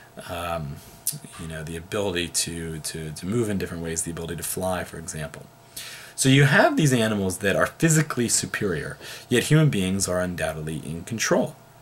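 A man speaks at a fairly quick pace in a very deep, low pitch. Light background noise sits behind him. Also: big swings in loudness. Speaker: philosophy teacher. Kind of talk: lecture. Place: home room. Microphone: webcam.

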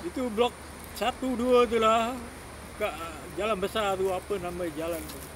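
The man's voice sits high in pitch, with ordinary pitch variation and big swings in loudness. He speaks at a fairly slow pace over noticeable background noise. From Singapore. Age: 70s. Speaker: homeless man. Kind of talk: casual interview answer.

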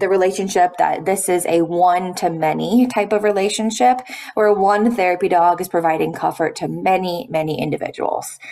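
A woman at a moderate pace, with hardly any pauses and ordinary pitch variation. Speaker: presenter. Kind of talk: lecture. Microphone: webcam.

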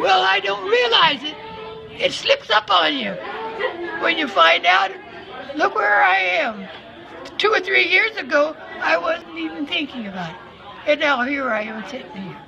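A woman talks in a high voice with very wide pitch swings and big swings in loudness. She leaves long, frequent pauses while crowd noise fills the background. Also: moderate pace. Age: 80s+. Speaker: interviewee. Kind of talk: interview answer. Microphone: phone near.

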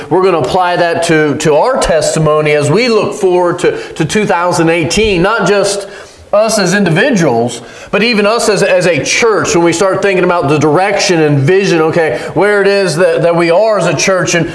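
This man's high-pitched voice moves at a moderate pace with ordinary pitch variation and very even loudness, while audible room echo fills the recording. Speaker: pastor. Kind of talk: sermon. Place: church. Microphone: podium.

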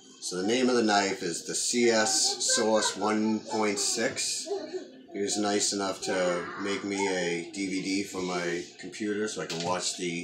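The pace is very slow as a man speaks. There is noticeable background noise. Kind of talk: casual vlog chat. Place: kitchen. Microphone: camera far.

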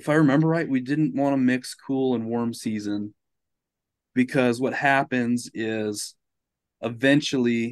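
A man's fairly even delivery at a fairly slow pace, dry with no echo, over a quiet background. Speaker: podcast guest. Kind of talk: casual explanatory conversation. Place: home room.

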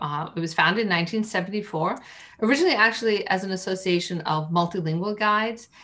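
Bright, sharp tone from a woman, pitch varying in an ordinary way. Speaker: interview guest. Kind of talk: interview answer. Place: home room. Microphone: video call.

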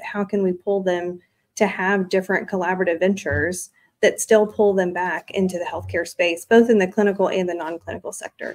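At a fairly quick pace, a woman talks in a monotone, flat intonation against a quiet background. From rural small town. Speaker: executive director of a health student organization. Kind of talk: interview. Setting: studio at a stock exchange. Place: studio.

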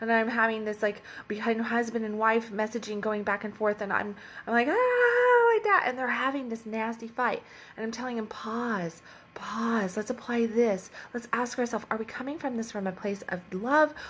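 The speaker is a woman with fairly even intonation. She keeps a moderate pace. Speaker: relationship coach. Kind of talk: casual vlog chat. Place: home room. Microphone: phone near.

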